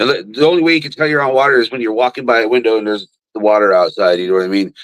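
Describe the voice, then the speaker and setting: A man speaks with lively intonation. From New Mexico. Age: 40s. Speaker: rapper. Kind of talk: casual chat.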